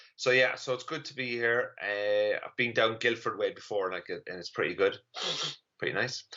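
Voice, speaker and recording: In an Irish accent, a man speaks at a moderate pace. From Ireland. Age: 30s. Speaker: comedian. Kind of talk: stand-up. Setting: online live stream.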